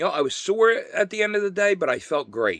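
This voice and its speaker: At a moderate pace, a man is talking. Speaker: vlogger sharing personal recovery updates. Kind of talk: casual personal monologue. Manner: loud and clear; halting, many fillers.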